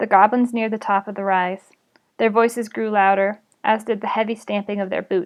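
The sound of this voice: With fairly even intonation, an unforced reading voice is heard against a quiet background.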